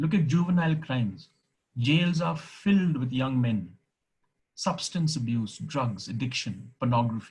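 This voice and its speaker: Somewhat breathy speech at a fairly slow pace, with very wide pitch swings. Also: man, medium pitch for a man. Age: 60s. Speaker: retired teacher and former deputy headmaster.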